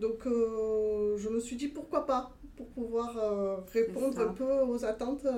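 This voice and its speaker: The speech unfolds very slowly, its intonation fairly even. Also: woman, fairly high pitch for a woman. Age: 40s. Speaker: entrepreneur planning a cosplay shop. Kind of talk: pitch.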